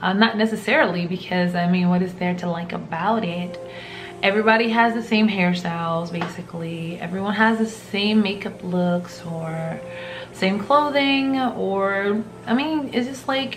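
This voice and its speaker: With music in the background and audible room echo, a woman with an American accent talks at a moderate pace with ordinary pitch variation. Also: medium pitch for a woman. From US South, rural. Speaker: vlogger. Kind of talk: casual talk to camera.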